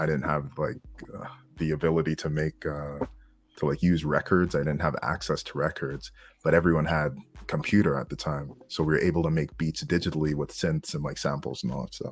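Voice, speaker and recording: With music in the background, a man talks at a fairly quick pace in a very deep, low voice with fairly even intonation. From Canada, Montreal area, Quebec. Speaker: podcast discussion guest, former underground rapper. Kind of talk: casual panel discussion.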